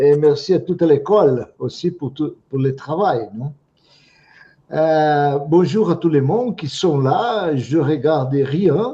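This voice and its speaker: Somewhat breathy and dark, mellow in tone, a man with a non-native accent talks very slowly at a fairly high pitch. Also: ordinary pitch variation, big swings in loudness. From Brazil. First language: Portuguese (speaking French). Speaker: psychotherapist and teacher. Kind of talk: lecture. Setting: video call webinar. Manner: halting, repeats words.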